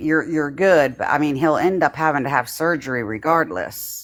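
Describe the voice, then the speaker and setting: A mumbling woman with a fairly low pitch, ordinary pitch variation and a moderate pace. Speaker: livestreamer. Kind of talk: casual chat.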